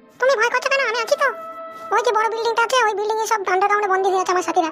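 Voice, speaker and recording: A cartoonish character voice races along at a very fast pace. Clear music plays in the background. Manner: calm, reassuring.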